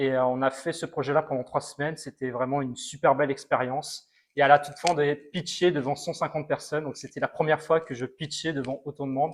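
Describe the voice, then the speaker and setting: Hardly pausing, a man talks at a very fast pace in a fairly high pitch with monotone, flat intonation. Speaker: robotics alumnus. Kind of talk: testimony interview.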